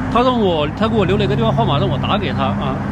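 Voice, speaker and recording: Dry sound with no echo, plus noticeable background noise. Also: man. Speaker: travel vlogger. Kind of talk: casual vlog narration. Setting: outdoors and in a car. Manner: casual, chatty. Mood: frustrated but animated. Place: street. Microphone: phone near.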